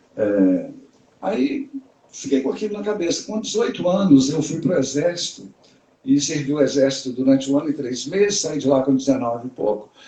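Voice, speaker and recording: At a moderate pace, a man with a normal speaking voice speaks at a fairly high pitch. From Brazil, Minas Gerais (Raposos, near Belo Horizonte). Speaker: bag designer and entrepreneur. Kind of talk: interview on a live stream. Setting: online live stream.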